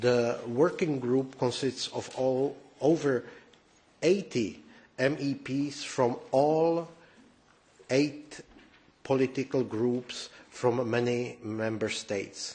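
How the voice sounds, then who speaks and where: With a Czech accent, a man talks at a very slow pace and medium pitch, with fairly even intonation and long, frequent pauses. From Czech Republic. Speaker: politician. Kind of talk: press conference statement. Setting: press conference room. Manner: halting, many fillers.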